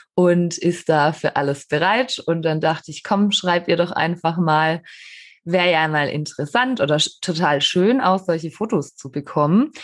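Spoken at a fairly slow pace with lively intonation, this is a plain, everyday voice against a quiet background. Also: woman. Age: 30s. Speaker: horse trainer, podcast co-host. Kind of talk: casual chat.

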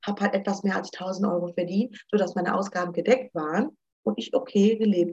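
Lively in intonation and somewhat breathy, a woman speaks at a fairly quick pace. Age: 30s. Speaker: student finance advisor. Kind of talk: informational interview.

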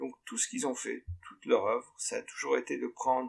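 A man is talking. His pace is moderate. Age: 50s. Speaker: musician and record producer. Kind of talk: interview. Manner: halting, many repetitions.

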